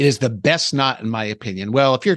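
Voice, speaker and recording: At a moderate pace, a man with a plain, everyday voice at medium pitch comes through in a dry, close sound with no echo over a quiet background. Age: 60s. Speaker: fishing podcast co-host. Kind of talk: casual podcast chat about fishing tackle.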